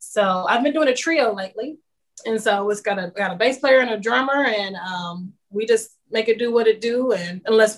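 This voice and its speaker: A woman with an American accent has a normal speaking voice, talking at a fairly quick pace with ordinary pitch variation. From Kansas City, Kansas. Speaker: singer-songwriter. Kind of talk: interview.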